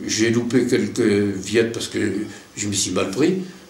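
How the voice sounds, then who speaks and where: A man talks with ordinary pitch variation as noticeable background noise continues behind him. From Lorraine, France. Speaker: retired army officer, war veteran. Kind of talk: interview answer.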